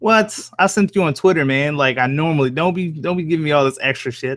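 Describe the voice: A man speaks at a fairly quick pace, his fairly high pitch and fairly bright tone carried by lively intonation.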